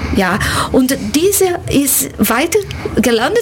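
There is noticeable background noise. The speech goes at a very slow pace. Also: woman. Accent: Portuguese. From Brazil. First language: Portuguese (speaking German). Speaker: university language lecturer. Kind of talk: radio interview. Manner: halting.

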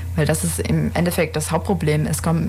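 A woman talks at a fairly quick clip, with audible room echo and noticeable noise in the background. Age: 20s. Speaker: medical student and aid volunteer. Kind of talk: radio interview. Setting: radio studio.

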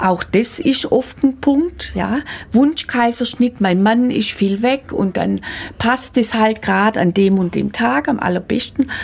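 The intonation here is lively. The delivery is very slow. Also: woman, fairly high pitch for a woman. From Swabia, Germany. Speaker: midwife and midwifery school teacher. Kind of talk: radio interview.

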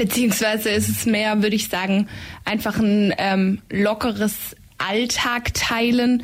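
A woman's fairly slow, monotone delivery with flat intonation and very even loudness, over noticeable background noise. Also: fairly high pitch for a woman. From Swabian Jura, Germany. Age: 20s. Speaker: psychology student, shared-house resident. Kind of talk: radio interview. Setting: radio studio.

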